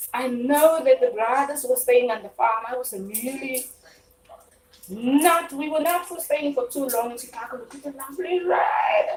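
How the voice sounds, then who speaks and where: A woman shouts at a moderate pace in a high pitch. Noticeable background noise sits behind her. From South Africa. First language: Afrikaans. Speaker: live-stream cooking host. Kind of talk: casual live-stream chat while cooking.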